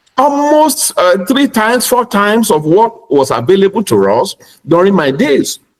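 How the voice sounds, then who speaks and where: A man with a Nigerian accent speaks at a high pitch, his voice swinging very widely up and down. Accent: Nigerian (Yoruba) English. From Nigeria (Yoruba). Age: 60s. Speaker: pastor and educator. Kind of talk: panel discussion.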